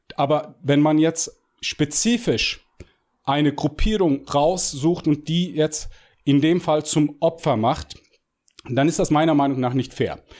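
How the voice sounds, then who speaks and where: A man's fairly high voice at a very slow pace, with long, frequent pauses and very even loudness. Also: ordinary pitch variation. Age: 40s. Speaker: fitness coach and bodybuilder. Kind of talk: podcast interview. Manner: halting, many fillers and repetitions.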